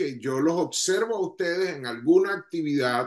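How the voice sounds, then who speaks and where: With a Venezuelan accent, a man speaks in a high voice with lively intonation. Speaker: ministry leader. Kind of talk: leadership talk to online audience.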